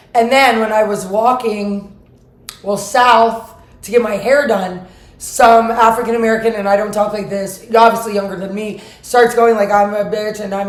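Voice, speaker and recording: A woman's fairly high, monotone, flat voice over noticeable background noise. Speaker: vlogger. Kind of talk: casual monologue vlog.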